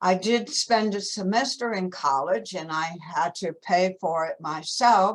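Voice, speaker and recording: A woman talks at a very slow pace. Her pitch sits in the medium range, with ordinary variation. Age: 70s. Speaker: forum participant. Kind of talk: personal testimony.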